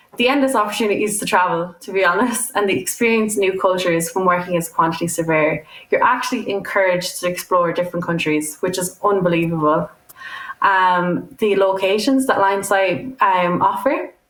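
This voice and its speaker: A woman with an Irish accent, medium pitch, ordinary pitch variation and a fairly quick pace. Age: 20s. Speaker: student quantity surveyor. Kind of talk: prerecorded talk.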